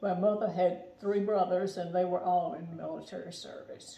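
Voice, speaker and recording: Over noticeable background noise, a woman talks at a moderate pace in a medium pitch. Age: 80s+. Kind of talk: interview answer.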